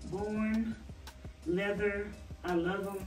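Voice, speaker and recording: A very slow delivery with fairly even intonation over clear music in the background. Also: woman. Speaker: vlogger. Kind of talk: casual vlog chat. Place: home room. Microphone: camera far.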